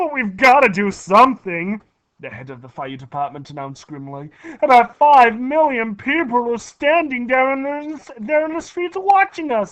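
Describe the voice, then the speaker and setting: A put-on character voice, raised and projected into shouting, fairly high in pitch, at a moderate pace. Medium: read story. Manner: panicky, shouting.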